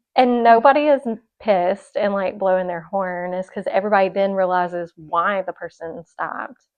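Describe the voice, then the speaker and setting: With an American accent, a woman speaks with ordinary pitch variation and big swings in loudness. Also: medium pitch for a woman, moderate pace. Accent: Southern, stronger and more country at home. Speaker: podcast co-host. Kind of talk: casual chat.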